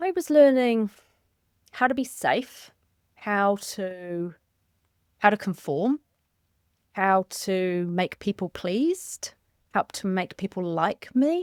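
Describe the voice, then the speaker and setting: A woman with a medium pitch and calm tone speaks at a very slow pace with long, frequent pauses and lively intonation, in a very clean recording with a silent background and a dry, close sound with no echo. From central England. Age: 40s. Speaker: author and coach. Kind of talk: interview.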